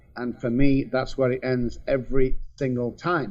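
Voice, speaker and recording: A man with a Mancunian accent talks with lively intonation. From England, Manchester. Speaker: addiction specialist. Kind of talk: testimony.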